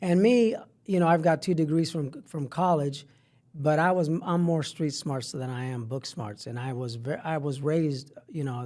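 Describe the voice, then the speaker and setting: Fairly high in pitch yet dark and mellow in tone, a man talks at a moderate pace with ordinary pitch variation. The recording is very clean, with a silent background. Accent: Spanish. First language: Spanish. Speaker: middle school health teacher. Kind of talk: podcast interview. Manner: halting, many repetitions.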